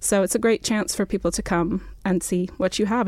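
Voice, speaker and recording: Using a normal speaking voice, a woman with an American accent talks at a fairly quick pace and a medium pitch with ordinary pitch variation. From New Mexico, US Southwest. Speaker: dark sky advocate and journalist. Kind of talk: interview.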